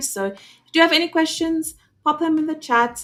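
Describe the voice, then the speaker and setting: A woman speaks at a moderate pace with a South African accent. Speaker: webinar host. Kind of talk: live webinar chat. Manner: casual, many filler words.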